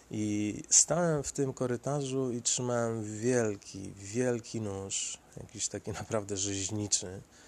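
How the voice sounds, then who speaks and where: On a very clean recording with a silent background, a man speaks very slowly at a medium pitch with ordinary pitch variation and hardly any pauses. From Poland, Sieradz. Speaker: podcaster. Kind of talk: solo monologue storytelling. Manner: halting.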